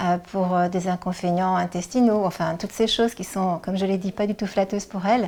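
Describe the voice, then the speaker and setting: On a very clean recording with a silent background, a woman speaks fairly quickly in a medium-pitched, dark, mellow voice with monotone, flat intonation. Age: 60s. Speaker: senior model, retired bank employee. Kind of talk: interview. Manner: hesitant, many filler sounds.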